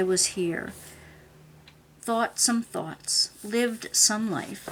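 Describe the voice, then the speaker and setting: Her speech is very slow. The woman's intonation stays fairly even. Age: 60s. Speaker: craft and art journaling vlogger. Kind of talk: casual video monologue. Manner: conversational, with filler pauses.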